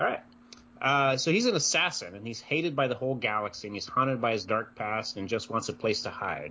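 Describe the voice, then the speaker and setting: Speaking in a plain, everyday voice with an American accent, a man goes at a fairly quick pace with lively intonation and medium pitch. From Iowa. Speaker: podcast co-host. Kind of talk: casual chat.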